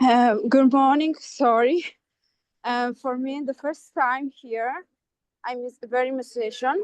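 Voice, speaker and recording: A woman with a non-native accent speaks at a very slow pace in a high voice, with long, frequent pauses and fairly even intonation, recorded in a dry, close sound with no echo. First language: not English. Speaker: course participant. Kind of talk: brief introduction in a group call. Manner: halting.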